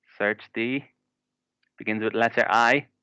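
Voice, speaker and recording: A man's bright, sharp voice with an Irish accent, medium pitch, fairly even intonation and a moderate pace, in a dry, close sound with no echo. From Ireland. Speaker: English teacher. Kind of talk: online class lesson.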